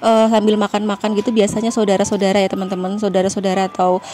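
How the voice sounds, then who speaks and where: Background music is playing. Over it, a woman talks. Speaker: vlogger. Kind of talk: voice-over vlog narration. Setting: in-laws' house in home village. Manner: casual, chatty. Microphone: no microphone, speaking directly.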